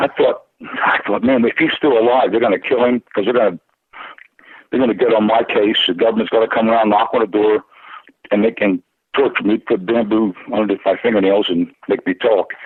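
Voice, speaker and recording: Speaking at a fairly quick pace, a man uses an ordinary speaking voice at medium pitch, with fairly even intonation and very even loudness. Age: 60s. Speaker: caller. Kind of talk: casual chat.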